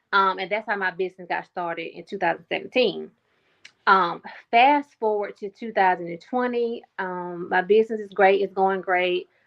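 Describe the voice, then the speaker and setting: A woman's unremarkable speaking voice at medium pitch, moderate pace, fairly even intonation and big swings in loudness. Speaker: pivot coach and military veteran. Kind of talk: interview.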